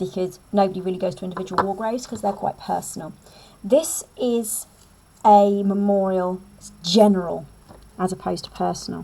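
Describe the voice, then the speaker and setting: The speaker, with an English accent, keeps a fairly even intonation while the loudness swings widely. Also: woman, medium pitch for a woman. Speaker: English teacher. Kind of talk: lecture. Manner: fast.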